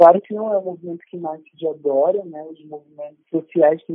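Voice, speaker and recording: The speaker is a man. His pitch is fairly high for a man. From Rio de Janeiro, Brazil. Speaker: university professor. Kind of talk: casual chat. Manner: formal.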